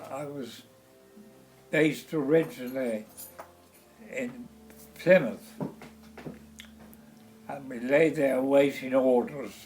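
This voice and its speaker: A man with an Irish accent, fairly high in pitch, at a very slow pace with long, frequent pauses, ordinary pitch variation and big swings in loudness, music in the background. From Ireland. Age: 80s+. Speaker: war veteran. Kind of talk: interview answer.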